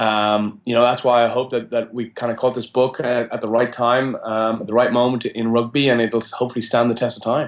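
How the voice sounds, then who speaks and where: A man with an Irish accent, medium-pitched and monotone, at a fairly quick pace with hardly any pauses. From Ireland. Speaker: college rugby coach. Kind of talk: interview.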